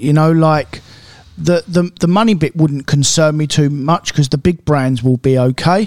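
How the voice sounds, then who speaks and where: With a British accent, the speech moves along at a moderate pace. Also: man. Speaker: car dealer and podcast co-host. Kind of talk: casual chat.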